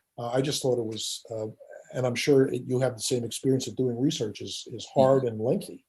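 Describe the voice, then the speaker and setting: The voice has a dark, mellow tone and is somewhat breathy. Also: man. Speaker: podcast host; author. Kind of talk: podcast interview conversation.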